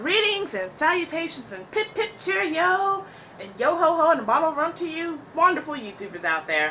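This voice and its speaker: With light background noise, a woman uses a raised, projected voice at an extremely high pitch, showing very wide pitch swings and big swings in loudness. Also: moderate pace. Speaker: vlogger. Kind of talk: casual talk to camera. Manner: stuttering, awkward pauses. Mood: opinionated, sarcastic, animated. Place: home room. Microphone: webcam.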